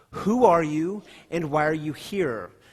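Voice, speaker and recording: Using a put-on character voice, a man speaks at a fairly high pitch. His pace is fairly slow and his intonation lively. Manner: commanding, demanding.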